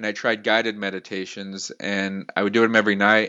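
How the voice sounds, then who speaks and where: In an unremarkable speaking voice, a man talks at a fairly quick pace with a fairly low pitch. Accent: American. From Utah, US (Salt Lake City). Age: 30s. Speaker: entrepreneur. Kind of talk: interview.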